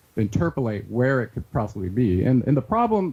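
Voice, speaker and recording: A man with a somewhat breathy voice and a dark, mellow tone talks at a very fast pace and medium pitch. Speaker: researcher and author. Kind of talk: interview.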